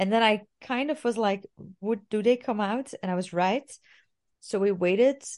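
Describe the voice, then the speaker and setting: With an unremarkable speaking voice, a woman talks at a moderate pace using a fairly high pitch and lively intonation. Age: 30s. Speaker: podcast co-host. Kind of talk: casual chat.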